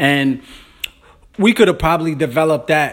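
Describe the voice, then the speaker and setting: A man with an American accent speaks in a fairly high pitch with ordinary pitch variation. It is a plain, everyday voice. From New York, Brooklyn. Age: 30s. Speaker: podcast host. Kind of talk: casual monologue. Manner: informal.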